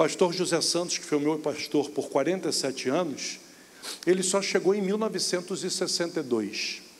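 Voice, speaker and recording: A man with a high voice talks at a fairly quick pace with ordinary pitch variation over noticeable background noise. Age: 60s. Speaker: pastor. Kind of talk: sermon. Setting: church.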